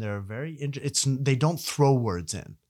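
A man talks with lively intonation. The recording is very clean, and the background is silent. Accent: Arabic. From Ottawa, Canada. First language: Arabic. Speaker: university professor. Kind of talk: casual interview. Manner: hesitant, filler words.

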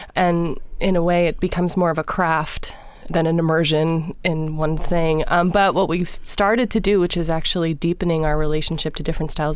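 A woman talks at a moderate pace in an ordinary speaking voice, pitched fairly low. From Los Angeles, California. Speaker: singer of Balkan vocal music. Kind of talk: interview.

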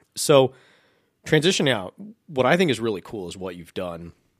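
On a very clean recording with a silent background, a man with an American accent speaks at a very fast pace with lively intonation. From Wisconsin. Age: 30s. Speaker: podcast host. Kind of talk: casual chat.

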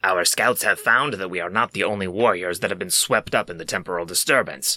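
A man puts on a character voice with a fairly low pitch. He talks at a fairly quick pace.

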